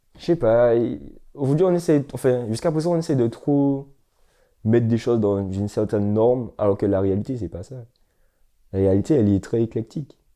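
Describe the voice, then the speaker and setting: A man with a Martinican accent talks at a moderate pace, his pitch medium and his tone dark and mellow. His intonation is lively, broken by long, frequent pauses, against a quiet background. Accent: Antillean (Martinican) French. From Martinique. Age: 20s. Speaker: film student and actor. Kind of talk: documentary interview. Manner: animated.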